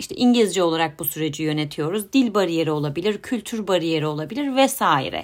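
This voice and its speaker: A woman speaks at a fairly quick pace with a fairly low pitch. Her intonation is lively. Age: 30s. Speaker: podcast host, psychologist. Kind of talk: solo podcast monologue. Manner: hesitant, with filler sounds.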